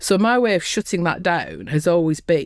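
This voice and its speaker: This woman has a very deep, low pitch and vocal fry, captured on a very clean recording with a silent background. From northern England, Lancashire. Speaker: construction safety consultant. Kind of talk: interview. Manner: animated.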